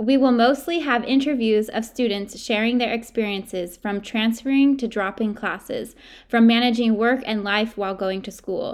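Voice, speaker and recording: A woman talks at a moderate pace in an unremarkable speaking voice. The recording is very clean, with a silent background. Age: 20s. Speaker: podcast co-host, college student. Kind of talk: casual chat.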